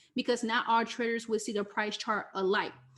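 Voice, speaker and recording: The woman talks at a fairly quick pace. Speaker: forex trading coach. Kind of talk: live online teaching session. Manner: fast.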